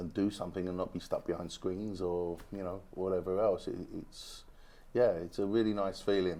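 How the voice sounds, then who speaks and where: With a British accent, a man talks at a moderate pace in a very deep, low pitch and a dark, mellow tone, his intonation monotone and flat. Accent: British accent, retained. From UK. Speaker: go-kart racing club president. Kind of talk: TV interview. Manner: hesitant, many fillers.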